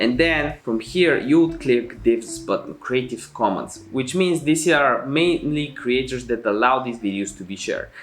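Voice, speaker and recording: Speaking at a fairly slow pace with a non-native accent, a man uses a medium pitch and ordinary pitch variation. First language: not English. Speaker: YouTube tutorial creator. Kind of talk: tutorial. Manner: casual.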